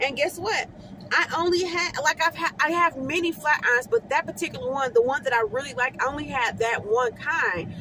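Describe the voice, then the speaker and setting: Raising and projecting her high-pitched voice, a woman talks fairly quickly with lively intonation amid noticeable background noise. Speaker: hair stylist. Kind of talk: casual vlog tips. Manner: fast.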